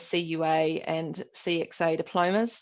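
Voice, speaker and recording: Against a quiet background, this speaker talks with a New Zealand accent and fairly even intonation. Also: woman. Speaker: business analyst. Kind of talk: conference talk. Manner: hesitant, many fillers.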